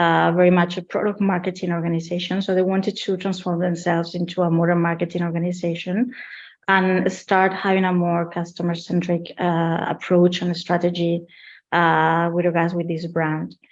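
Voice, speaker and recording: A woman with a Spanish accent, a fairly low pitch and a monotone, flat intonation, at a moderate pace. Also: quiet background. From Spain. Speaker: marketing executive. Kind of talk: webinar interview.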